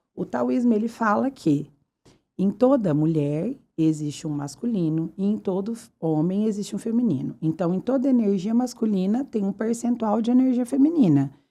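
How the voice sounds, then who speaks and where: A woman speaks at a moderate pace with a medium pitch. Her tone is dark and mellow, and her pitch swings very widely. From Brazil, Uberaba (Minas Gerais). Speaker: fashion retailer, podcast guest. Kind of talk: casual interview chat. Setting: podcast studio.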